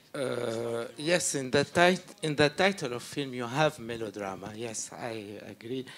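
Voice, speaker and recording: A man with a medium-pitched voice speaks at a fairly slow pace. His intonation is lively and he makes hardly any pauses. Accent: Arabic. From Syria. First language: Arabic. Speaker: film director. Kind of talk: Q&A interview. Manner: halting.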